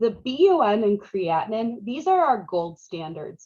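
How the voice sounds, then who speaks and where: Very wide pitch swings in a woman's somewhat breathy voice. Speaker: nursing instructor. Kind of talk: lecture. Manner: casual, conversational.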